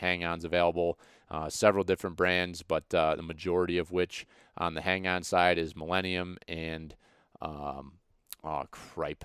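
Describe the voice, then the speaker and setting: A man with an American accent speaks at a moderate pace in a very deep, low voice with monotone, flat intonation, recorded very cleanly against a silent background with a dry, close sound and no echo. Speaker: podcast host. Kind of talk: podcast sponsor read, casual. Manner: halting with many fillers.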